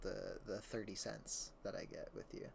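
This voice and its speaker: A soft-spoken man talks. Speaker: streamer. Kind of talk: casual livestream chat.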